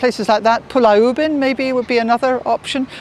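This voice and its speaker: Over noticeable background noise, a woman talks at a fairly quick pace with a British accent. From Britain. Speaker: tour guide. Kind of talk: interview answer.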